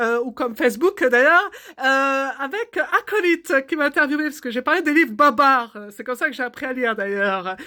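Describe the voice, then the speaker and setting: A woman with a high pitch uses a raised, projected voice with a bright, sharp tone at a moderate pace. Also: lively intonation, very clean recording, silent background. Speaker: art therapist and artist. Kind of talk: casual comic monologue. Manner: hesitant, many fillers.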